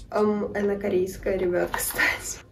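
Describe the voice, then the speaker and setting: Noticeable noise sits in the background. An audible room echo carries through the recording. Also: woman. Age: 20s. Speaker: beauty vlogger. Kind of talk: makeup tutorial. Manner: casual.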